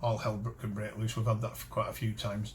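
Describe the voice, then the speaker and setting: This man talks at a very fast pace with a somewhat breathy voice. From Cumbria, northern England. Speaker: metal detecting channel host. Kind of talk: casual talk to camera. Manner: halting, many false starts and fillers.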